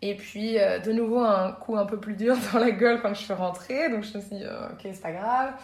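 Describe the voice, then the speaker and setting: The speech moves at a fairly quick pace with fairly even intonation. Audible room echo and noticeable background noise are present. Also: woman. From Belgium, Brussels. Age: 30s. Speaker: yoga teacher and entrepreneur. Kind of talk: casual interview.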